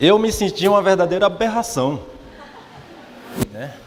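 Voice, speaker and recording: With a northeastern Brazilian accent, a man speaks at a moderate pace over noticeable background noise. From Brazilian Northeast, Olinda, Pernambuco. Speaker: religious speaker, church leader. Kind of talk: morning talk to congregation. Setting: mission headquarters hall with audience. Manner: hesitant, many repeated fillers.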